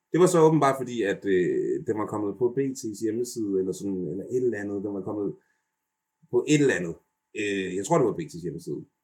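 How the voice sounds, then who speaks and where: Lively in intonation, a man talks at a moderate pace and a medium pitch. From Denmark. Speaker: YouTube personality and childcare worker. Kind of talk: casual interview. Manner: halting, many fillers.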